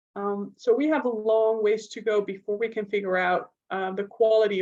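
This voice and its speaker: A woman with a Dutch accent at a moderate pace. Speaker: neuropsychologist and researcher. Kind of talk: lecture.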